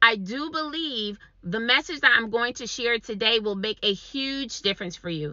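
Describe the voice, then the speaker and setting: A woman talks at a moderate pace with an energetic tone, a fairly high pitch and lively intonation. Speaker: online business coach. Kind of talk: motivational talk to camera.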